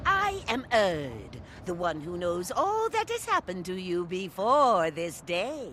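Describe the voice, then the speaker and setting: Clear background noise sits behind a woman doing a put-on character voice at medium pitch. She talks at a fairly slow pace with hardly any pauses. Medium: solo performance. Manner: solemn, oracular.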